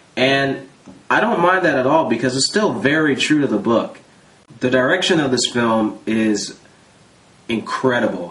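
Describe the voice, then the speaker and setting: A man speaks at a fairly slow pace. His medium pitch carries lively intonation. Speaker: movie reviewer. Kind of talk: casual movie review talk to camera.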